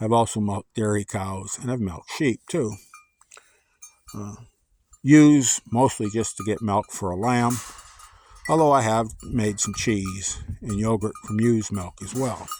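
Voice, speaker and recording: Speech broken up by long, frequent pauses, with an ordinary amount of pitch variation. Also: man, fairly low pitch for a man, fairly slow pace. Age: 50s. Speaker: goat keeper. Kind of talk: tutorial. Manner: casual, many filler uhs.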